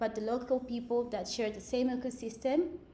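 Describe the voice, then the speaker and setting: A woman with a Portuguese accent and a fairly high pitch, at a moderate pace, with audible room echo. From Mozambique, Beira. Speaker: ecologist. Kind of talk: lecture.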